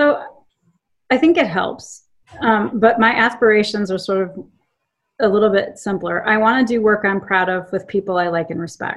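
Using a plain, everyday voice, a woman with an American accent speaks at a medium pitch and a moderate pace with ordinary pitch variation. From Charlottesville, Virginia. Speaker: tech company CEO. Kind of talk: interview. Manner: casual, frequent laughter.

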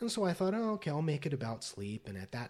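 Somewhat breathy, a man speaks with an American accent. His intonation is lively. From Las Vegas, US West. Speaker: poet and professor. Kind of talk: casual interview. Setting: in person, Los Angeles.

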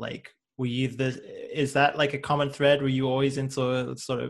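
Somewhat breathy and fairly quick, a man with a Liverpool accent talks at a medium pitch. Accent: Liverpool (Scouse) English. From Liverpool, England. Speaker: podcast host, motion designer. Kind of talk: casual chat.

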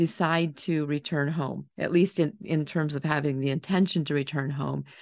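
Against a quiet background, a woman with an unremarkable speaking voice talks at a moderate pace. Her intonation is fairly even. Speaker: interviewer / podcast host. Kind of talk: interview discussion.

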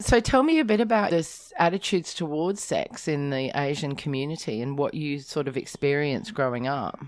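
A very deep, low-pitched woman with an Australian accent, lively in intonation, at a fairly quick pace with hardly any pauses. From rural South Australia. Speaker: podcast host. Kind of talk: casual chat.

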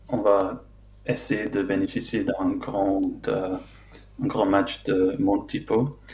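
Speaking with an English accent, a man goes at a very slow pace with long, frequent pauses. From London, England. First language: English (speaking French). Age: 20s. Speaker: football fan and club social media account runner. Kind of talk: casual chat. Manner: halting.

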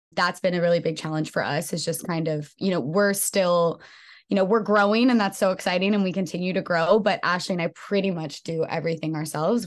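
A woman with an American accent speaks at a fairly quick pace with hardly any pauses, in a fairly low pitch with fairly even intonation. She has an unremarkable speaking voice, and the background is quiet. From US West Coast, San Francisco Bay Area. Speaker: fitness studio co-founder and trainer. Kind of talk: casual interview chat.

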